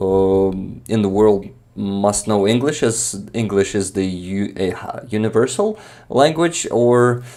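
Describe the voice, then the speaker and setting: A man with a Ukrainian accent talks at a fairly slow pace in a fairly low pitch. His tone is dark and mellow, with ordinary pitch variation. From eastern Ukraine, Makiyivka (Donetsk region). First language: Ukrainian or Russian. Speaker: Ukrainian content creator. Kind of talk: casual conversation on a live stream. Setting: live stream. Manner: hesitant, many fillers.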